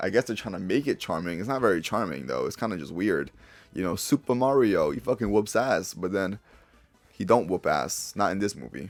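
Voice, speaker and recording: A man with a fairly low pitch and vocal fry talks at a fairly quick pace with lively intonation. The recording is very clean, with a silent background. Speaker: YouTuber, movie reviewer. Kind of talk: casual video review. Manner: casual, profane.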